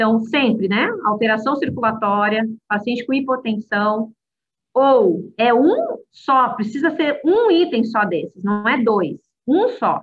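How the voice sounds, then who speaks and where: Her pitch varies in an ordinary way. The speaker is a woman. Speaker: medical professor. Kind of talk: lecture.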